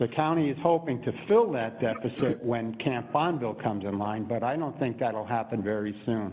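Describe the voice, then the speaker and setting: A man's medium-pitched voice with an American accent, fairly quick with hardly any pauses and ordinary pitch variation. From New York City (Brooklyn). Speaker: public commenter. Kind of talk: public testimony.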